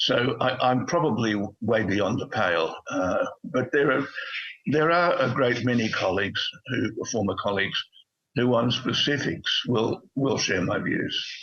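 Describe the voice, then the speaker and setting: Using lively intonation at a fairly slow pace, a man with an Australian accent speaks at a medium pitch and very even loudness. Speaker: retired diplomat. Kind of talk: political interview. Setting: remote video call. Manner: halting, frequent repetitions.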